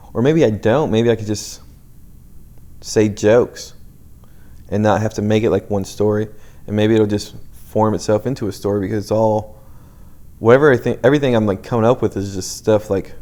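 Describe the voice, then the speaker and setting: A man with a fairly low pitch, fairly even intonation and a fairly quick pace broken by long, frequent pauses. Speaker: comedian. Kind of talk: casual solo podcast monologue. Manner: fast, trips over words; casual, halting.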